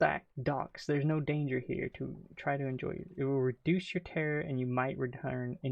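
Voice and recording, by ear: Read aloud in a natural voice, the passage moves with fairly even intonation.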